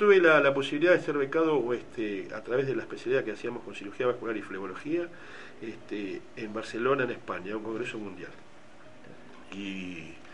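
Noticeable background noise and audible room echo surround a man talking at a fairly quick pace with very wide pitch swings. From Argentina, Bahía Blanca. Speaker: doctor, hospital emergency department head. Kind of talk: radio interview. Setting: radio studio. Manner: hesitant, many fillers.

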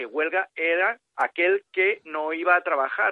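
A man is speaking. He goes at a fairly slow pace. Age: 50s. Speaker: author. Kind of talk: interview.

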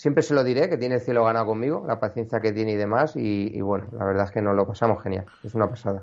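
A man speaks at a very fast pace with hardly any pauses. His pitch is medium, with ordinary pitch variation. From Extremadura, Cáceres province (rural), raised partly in Madrid. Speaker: amateur landscape photographer. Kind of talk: casual interview. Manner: halting, frequent repetitions.

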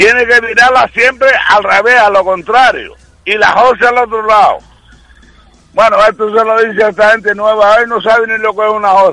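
Over noticeable background noise, a man projects a raised, high-pitched voice at a moderate pace with fairly even intonation. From Canary Islands, Telde (Gran Canaria). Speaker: radio caller. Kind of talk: phone-in chat.

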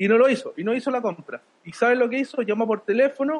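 Ordinary pitch variation at a very fast pace. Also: man. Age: 50s. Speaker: podcast host, entrepreneur. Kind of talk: casual chat.

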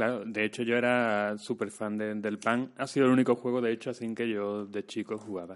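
A man's medium-pitched voice, fairly quick and with hardly any pauses, monotone and flat in intonation, over a quiet background. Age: 30s. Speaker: actor and screenwriter. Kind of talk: casual chat.

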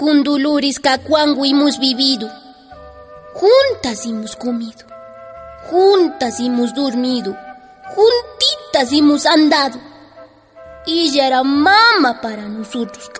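Someone speaks at a fairly slow pace with faint music in the background. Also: woman, high pitch for a woman. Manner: loyal, heartfelt.

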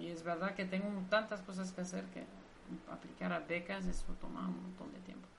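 In a room with audible echo, a woman speaks at a medium pitch with fairly even intonation. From Belgium, Brussels. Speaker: marine biologist. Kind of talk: interview.

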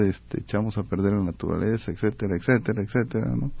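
A man speaks at a fairly low pitch with ordinary pitch variation. His is an ordinary speaking voice. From Costa Rica. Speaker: architect and urban planner. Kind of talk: radio interview.

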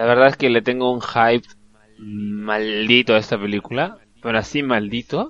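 This man has a normal speaking voice at a medium pitch, talking at a moderate pace with fairly even intonation. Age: 20s. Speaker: film podcast co-host. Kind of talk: casual chat.

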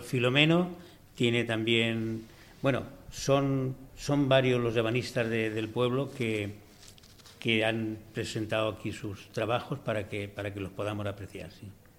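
Speaking at a fairly slow pace with long, frequent pauses, a man keeps a medium pitch and fairly even intonation amid audible room echo. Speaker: cabinetmaker. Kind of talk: press conference.

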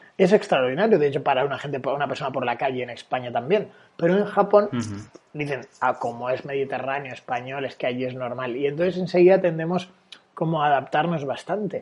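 A man talks at a very fast pace with lively intonation. His pitch sits fairly high. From Valencia, Spain. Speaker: dating coach and sociologist. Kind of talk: casual interview.

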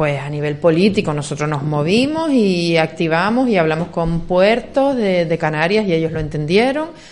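With hardly any pauses, a woman talks in a fairly low pitch and lively intonation while audible room echo surrounds her voice. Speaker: local councillor. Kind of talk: radio interview. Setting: radio studio. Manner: fast.

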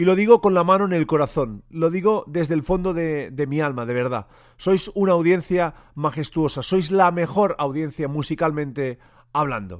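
On a very clean recording with a silent background, a man with a fairly high pitch talks at a moderate pace with ordinary pitch variation. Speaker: music radio and podcast host. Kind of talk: solo podcast monologue. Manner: informal, some hesitations.

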